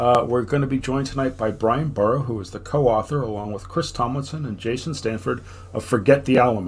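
The delivery runs at a very fast pace and is somewhat breathy, with ordinary pitch variation. Light background noise sits behind it. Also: man. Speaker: podcast host. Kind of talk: casual chat. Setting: video call. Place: home room.

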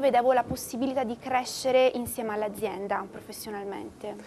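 Over light background noise, a woman with a high pitch talks at a moderate pace with ordinary pitch variation. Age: 20s. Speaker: digital marketing specialist. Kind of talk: interview. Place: hall. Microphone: lapel.

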